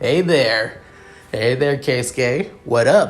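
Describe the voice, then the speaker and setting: In a put-on character voice, a man sounds gruff and fairly high-pitched, speaking at a very slow pace. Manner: hyperactive.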